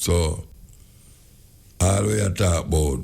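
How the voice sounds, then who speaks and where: The speaker talks very slowly with a Jamaican accent and a somewhat breathy sound. Pitch variation is ordinary. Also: man. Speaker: dub poet, radio host. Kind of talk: radio talk show monologue.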